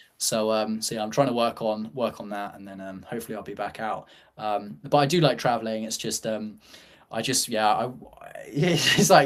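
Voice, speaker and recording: Using a British accent, a man speaks at a medium pitch and moderate pace, with ordinary pitch variation and big swings in loudness. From UK. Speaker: startup founder. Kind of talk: casual chat. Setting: live show. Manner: halting, many fillers.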